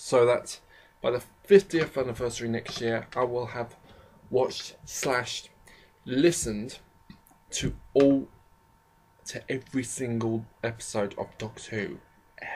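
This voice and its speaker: The speaker goes at a fairly slow pace with long, frequent pauses. The voice is somewhat breathy, with ordinary pitch variation. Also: man, medium pitch for a man. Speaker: college student. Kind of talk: casual talk to camera. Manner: rambling, hesitant.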